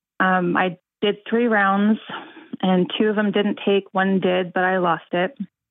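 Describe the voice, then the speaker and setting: A woman uses a normal speaking voice at medium pitch, going at a fairly slow pace with fairly even intonation and very even loudness. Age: 30s. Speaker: caller. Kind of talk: call-in advice conversation. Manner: laughs often.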